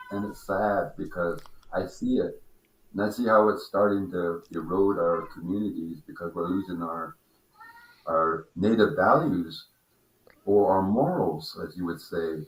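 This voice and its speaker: This man has a very deep, low pitch and an American accent. He talks at a fairly slow pace with ordinary pitch variation. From Pacific Northwest US, Washington coast. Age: 70s. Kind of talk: casual chat. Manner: loud.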